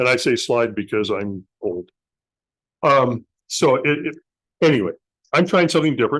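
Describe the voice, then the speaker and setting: Against a quiet background, a fairly high-pitched man speaks at a moderate pace with lively intonation and long, frequent pauses. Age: 60s. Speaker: amateur radio club speaker. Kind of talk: presentation. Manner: halting.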